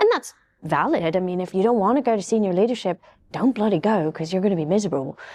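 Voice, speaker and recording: With a British accent, a woman talks at a very fast pace in a medium pitch, her dark, mellow tone carrying lively intonation against a quiet background. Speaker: cybersecurity panelist. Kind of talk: panel discussion. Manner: soft-spoken.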